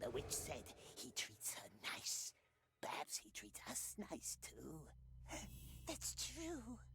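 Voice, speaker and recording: A put-on character voice sounds very deep and whiny. It moves at a very slow pace, with long, frequent pauses. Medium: video game. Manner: whining, talks of himself as "we".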